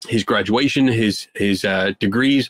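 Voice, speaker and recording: A man in a Philadelphia accent at a fairly slow pace, ordinary pitch variation, and a dry, close sound with no echo. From Philadelphia, US. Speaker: skeptic investigator. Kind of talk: podcast interview.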